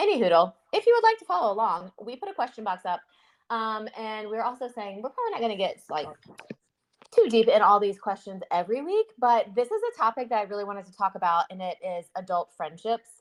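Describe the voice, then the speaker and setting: A fairly high-pitched woman's voice in a Southern US accent, with ordinary pitch variation and a dry, close sound with no echo. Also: fairly quick pace, big swings in loudness. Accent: Southern US, shows in some words. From US South. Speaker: podcast co-host. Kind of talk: casual chat.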